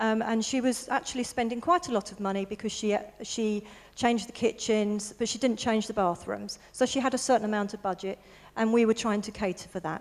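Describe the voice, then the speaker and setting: At a fairly quick pace, a woman with a southern English accent speaks in a fairly high pitch with fairly even intonation. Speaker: interior designer. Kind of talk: presentation to an audience. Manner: soft-spoken; halting.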